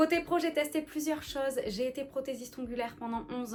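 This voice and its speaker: A woman talks with lively intonation over noticeable background noise. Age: 30s. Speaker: lifestyle vlogger. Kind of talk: casual vlog talk to camera. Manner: chatty.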